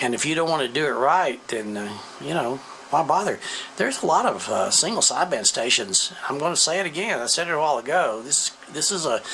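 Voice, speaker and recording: There is noticeable background noise as a man talks with lively intonation. His pitch is fairly high. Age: 70s. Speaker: ham radio operator and amp builder. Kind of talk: casual tutorial. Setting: basement workshop. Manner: conversational with hesitations.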